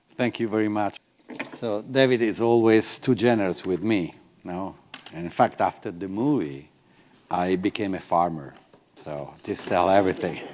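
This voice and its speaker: A man speaks in an Italian accent at a moderate pace, using long, frequent pauses. His pitch is fairly low, with ordinary pitch variation. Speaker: olive oil producer. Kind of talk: lecture.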